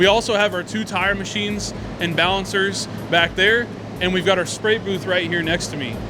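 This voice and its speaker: High-pitched male voice, raised and projected, at a moderate pace with fairly even intonation over music in the background. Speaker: auto shop staff giving tour. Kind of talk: guided walkthrough tour. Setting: walking through auto shop. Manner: loud, raised voice.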